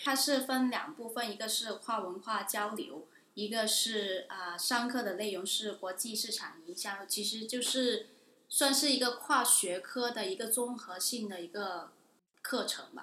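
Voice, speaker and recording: A woman speaks at a fairly slow pace with a fairly high pitch and ordinary pitch variation. Noticeable background noise can be heard. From Guangdong, China. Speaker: international student. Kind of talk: interview. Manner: hesitant, many fillers.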